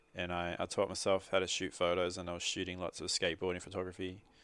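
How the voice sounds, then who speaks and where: The speaker is a man with an Australian accent and a very deep, low voice. Behind him the background is quiet. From Australia, Sydney. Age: 30s. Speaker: muralist. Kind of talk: interview. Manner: halting.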